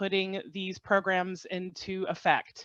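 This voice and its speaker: A woman's medium-pitched voice against a quiet background. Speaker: government agency field operations official. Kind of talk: webinar presentation.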